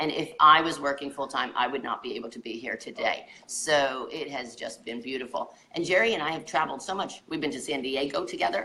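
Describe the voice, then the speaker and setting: Amid noticeable background noise, a woman with a very deep, low voice talks at a fairly quick pace with hardly any pauses. Her intonation is lively. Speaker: physical therapist turned wellness coach. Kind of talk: casual chat. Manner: loud.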